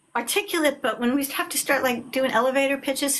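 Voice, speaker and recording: A woman talks loudly with an American accent. Her pace is fairly quick and her intonation lively. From Long Island, New York. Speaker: author. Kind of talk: casual chat. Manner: animated.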